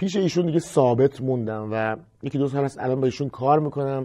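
Over a quiet background, a man speaks in a dark, mellow tone with ordinary pitch variation. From Iran, Kashan; Iran. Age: 30s. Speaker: music teacher. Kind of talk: tutorial; course introduction talk. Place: studio. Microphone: lapel.

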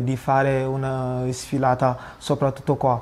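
Very slowly, a man with a non-native accent speaks at a fairly high pitch. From Senegal. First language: not Italian (speaking Italian). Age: young. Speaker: student. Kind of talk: appeal for support. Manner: halting. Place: home room. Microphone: lapel.

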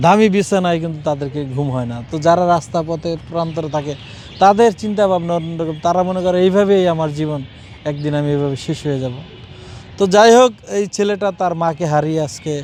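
A man speaks in a high voice with ordinary pitch variation over music playing in the background. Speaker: street interviewer / vlogger. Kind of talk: street interview. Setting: outdoors in a park.

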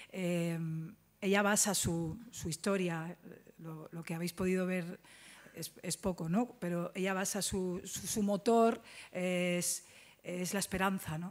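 Very slowly and with long, frequent pauses, a woman speaks at a fairly low pitch with fairly even intonation. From Jerez, Cádiz, Andalusia; Andalusia, Spain. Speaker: actress. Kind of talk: press conference. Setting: press conference at film festival. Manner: halting. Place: hall. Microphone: podium.

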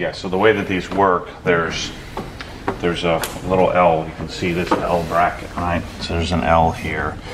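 Over noticeable background noise, a man with a very deep, low pitch speaks at a moderate pace in a monotone, flat delivery. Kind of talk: casual vlog chat. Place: garage. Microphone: phone near.

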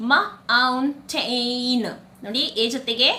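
Bright and sharp in tone, the woman's voice sits high in pitch. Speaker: English phonics teacher. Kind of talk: tutorial.

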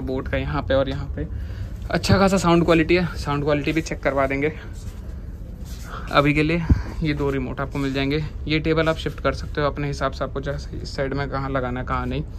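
Noticeable background noise accompanies this recording. A man speaks at a moderate pace. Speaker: vlogger reviewing a venue. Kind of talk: casual vlog chat. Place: cafe. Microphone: phone near.

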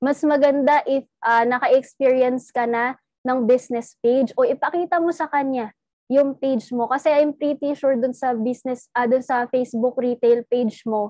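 A high-pitched woman with an English accent at a moderate pace, dry sound with no echo and a quiet background. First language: English (speaking Tagalog). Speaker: network marketing trainer; sales trainer. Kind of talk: training talk. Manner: animated. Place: home room. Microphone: webcam.

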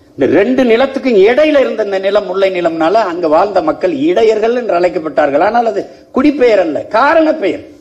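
With a passionate tone, a man speaks at a high pitch. His pitch swings very widely. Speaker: politician. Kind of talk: political rally speech. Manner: fiery, passionate. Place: hall. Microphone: podium.

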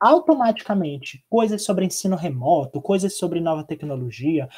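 Quick and lively in intonation, a man with a high pitch and a dark, mellow tone speaks over a quiet background. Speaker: teacher. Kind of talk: online lecture. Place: home room. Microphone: webcam.

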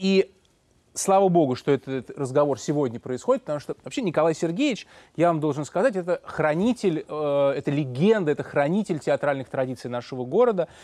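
Against a quiet background, a man talks at a fairly quick pace with lively intonation. His fairly high voice has a dark, mellow tone and a dry sound with no echo. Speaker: radio host. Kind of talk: late-night radio interview. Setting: studio. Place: studio. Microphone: lapel.

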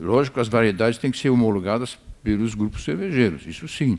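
A man is speaking. His intonation is lively. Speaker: veteran maltster and brewer. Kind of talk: panel discussion. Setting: stage with audience. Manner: halting. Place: stage.

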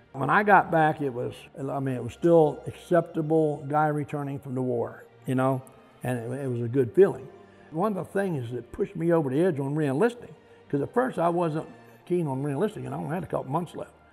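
A man at a fairly quick pace, ordinary pitch variation, faint music in the background. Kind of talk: interview answer. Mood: reflective, matter-of-fact. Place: hall.

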